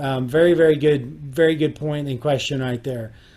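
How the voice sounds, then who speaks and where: Speaking at a moderate pace with an American accent, a man uses a fairly high pitch and monotone, flat intonation. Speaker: youth livestock program specialist. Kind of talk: webinar presentation. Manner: hesitant with fillers.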